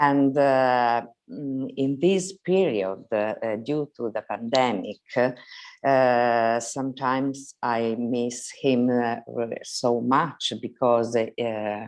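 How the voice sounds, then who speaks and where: A woman with an Italian accent speaks at a very slow pace in a very deep, low voice against a quiet background. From Italy. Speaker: mother asking a question. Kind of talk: asking for advice in a video conversation. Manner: halting, many hesitations.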